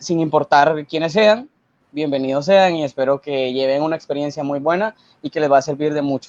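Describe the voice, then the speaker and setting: With an unremarkable speaking voice, a man talks at a moderate pace and with ordinary pitch variation, the sound dry and close with no echo. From Guatemala. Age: 20s. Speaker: university student. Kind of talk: interview.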